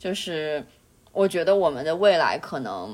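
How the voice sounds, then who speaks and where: A woman's voice at a fairly slow pace, with noticeable background noise. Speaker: podcast co-host. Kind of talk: casual chat.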